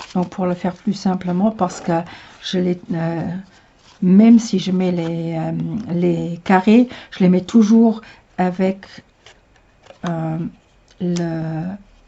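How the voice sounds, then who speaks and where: Somewhat breathy and at medium pitch, a woman speaks very slowly with fairly even intonation and long, frequent pauses. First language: Luxembourgish (speaking French). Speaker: tarot reader. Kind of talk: tutorial. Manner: halting, many hesitations.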